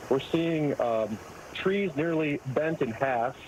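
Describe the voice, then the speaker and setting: A man with a fairly high pitch talks at a fairly slow pace with ordinary pitch variation over noticeable background noise. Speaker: architect caught in hurricane. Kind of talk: phone interview. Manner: loud.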